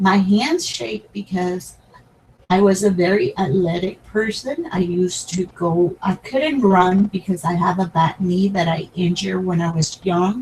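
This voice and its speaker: In a Spanish accent, a woman of medium pitch talks at a fairly slow pace with ordinary pitch variation. Noticeable background noise sits behind her. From Puerto Rico. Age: 60s. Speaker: crafting YouTuber. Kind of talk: personal talk to camera. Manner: halting.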